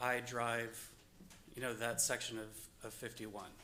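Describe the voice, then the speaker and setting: There is audible room echo around a man whose tone is bright and sharp. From northern US. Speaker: resident speaking at public hearing. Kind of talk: public comment at zoning meeting. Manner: hesitant, with fillers.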